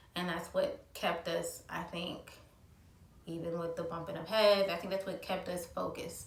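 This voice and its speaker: A woman sounds strained as she talks at a moderate pace. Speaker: mother of a child with cancer. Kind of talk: casual talk to camera. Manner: somewhat monotone, restrained.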